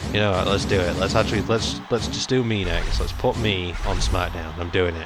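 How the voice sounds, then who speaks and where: A man with a British accent speaks in a very deep, low pitch at a fairly quick pace, his tone animated. Audible room echo and noticeable background noise fill the clip. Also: ordinary pitch variation. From Britain. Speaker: gaming YouTuber. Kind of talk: let's play commentary. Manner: casual, animated.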